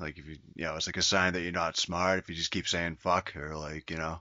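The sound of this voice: Low in pitch, this man's voice has a bright, sharp tone.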